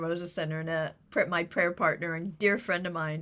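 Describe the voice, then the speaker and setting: A woman speaks in a bright, sharp tone. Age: 60s. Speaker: spiritual practitioner. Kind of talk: spiritual talk. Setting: church service. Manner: halting.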